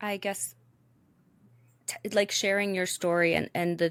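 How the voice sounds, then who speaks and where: Speaking with an American accent, a woman uses a fairly low pitch and fairly even intonation. The recording is very clean, with a silent background. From Chicago. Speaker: podcast host. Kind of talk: interview.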